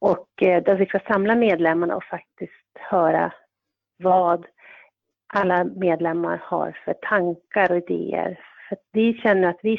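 At a fairly slow pace, a woman talks in a medium pitch with fairly even intonation. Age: 40s. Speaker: volunteer defence organisation member. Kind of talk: interview. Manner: halting, many fillers.

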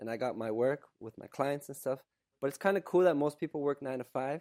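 Speaking with a Canadian accent, a man with a dark, mellow tone and fairly high pitch talks at a fairly quick pace. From Canada. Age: 30s. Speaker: content creator and coach. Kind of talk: casual interview conversation.

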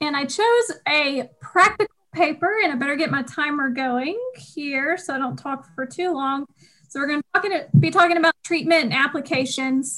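A woman's high, bright, sharp voice, raised and projected, with a Southern US accent, lively intonation and a moderate pace. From US South, Georgia. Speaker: podcast co-host.

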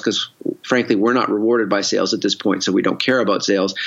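With a Canadian accent, this man has a normal speaking voice at medium pitch with ordinary pitch variation. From Canada, Victoria. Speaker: entrepreneur and investor. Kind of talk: casual interview.

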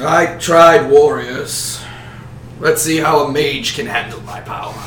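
With a slight echo, a man uses a put-on character voice of fairly high pitch at a fairly slow pace. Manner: menacing, challenging.

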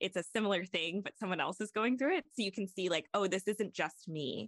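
A woman's unremarkable speaking voice, medium in pitch and moderate in pace, with a dry, close sound and no echo. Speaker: college admissions coach. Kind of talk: casual chat.

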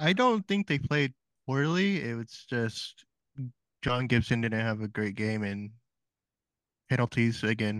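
The speaker moves at a fairly slow pace with lively intonation. Long, frequent pauses break up the speech, and the sound is dry and close with no echo. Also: man, medium pitch for a man, quiet background. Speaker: podcast co-host. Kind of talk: casual sports podcast chat.

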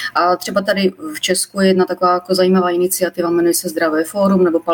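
Noticeable background noise sits behind a woman talking at a very fast pace. Her intonation is fairly even. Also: dry, close sound with no echo. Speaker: molecular biologist. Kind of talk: live-stream interview. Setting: live Facebook stream. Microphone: poorer audio quality.

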